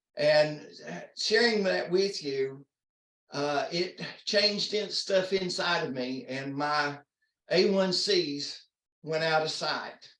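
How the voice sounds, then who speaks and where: Audible room echo surrounds a man with a high voice and ordinary pitch variation, who talks very slowly with long, frequent pauses. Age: 60s. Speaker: diabetes product user sharing experience. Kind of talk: testimony. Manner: halting.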